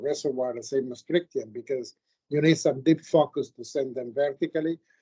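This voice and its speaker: Heard dry and close with no echo, a man with an Italian accent has a fairly high, dark, mellow voice and fairly even intonation. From Italy. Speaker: geologist, committee member. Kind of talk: academic Q&A feedback.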